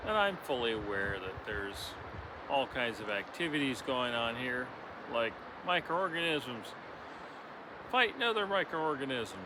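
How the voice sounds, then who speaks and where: With a relaxed tone, a man of medium pitch talks at a moderate pace with very wide pitch swings and long, frequent pauses over noticeable background noise. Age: 60s. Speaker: spiritual vlogger. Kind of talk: reflective monologue. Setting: outdoors by a river. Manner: relaxed, hesitant with fillers.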